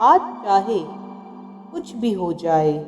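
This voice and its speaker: A woman speaks in a calm tone with fairly even intonation. Music plays in the background. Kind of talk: guided affirmations read. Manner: slow, calm.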